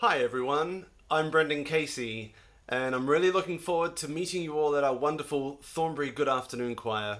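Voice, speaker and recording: A man speaks fairly quickly in a fairly high voice with a New Zealand accent. His pitch varies in an ordinary way. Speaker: choir conductor. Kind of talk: recorded video announcement.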